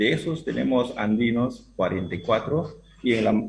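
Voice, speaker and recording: A man speaks with lively intonation and a somewhat breathy voice. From Peruvian Amazon, Awajún people. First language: Awajún (speaking Spanish). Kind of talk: panel discussion. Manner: halting.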